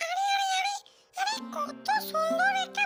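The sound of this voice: A woman performs a cartoonish character voice at an extremely high pitch and a fairly slow pace. Faint music plays in the background.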